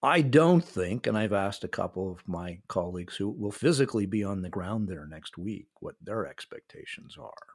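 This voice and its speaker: At a moderate pace with hardly any pauses, a man with an ordinary speaking voice talks at a fairly low pitch, with lively intonation and big swings in loudness. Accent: American. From North America (Canada and US). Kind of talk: interview.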